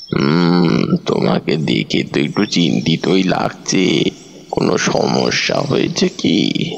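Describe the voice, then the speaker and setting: In a put-on character voice, a man speaks very slowly at a very deep, low pitch with very wide pitch swings, and background noise is clearly audible. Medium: audio drama.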